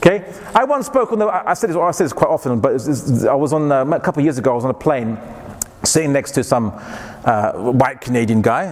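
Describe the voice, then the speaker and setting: A man with a British accent at medium pitch and a fairly quick pace, over noticeable background noise. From England. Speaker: Islamic lecturer. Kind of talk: lecture.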